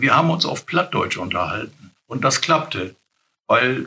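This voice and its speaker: With a northern German accent, a man talks at a moderate pace in a bright, sharp tone with vocal fry. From northern Germany, Wursten coast near Bremerhaven. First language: Low German (speaking German). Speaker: retired colleague, Low German speaker. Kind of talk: language lesson, casual chat.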